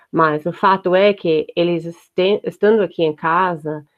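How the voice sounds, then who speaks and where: A woman's fairly low voice with an English accent and fairly even intonation. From United States. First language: English (speaking Portuguese). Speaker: homeschooling mother. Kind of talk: casual chat. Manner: hesitant, many fillers.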